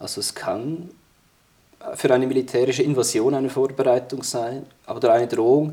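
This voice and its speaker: A man at a medium pitch talks in a monotone, flat way, with long, frequent pauses. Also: moderate pace. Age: 30s. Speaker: military historian and security policy expert. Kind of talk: interview discussion.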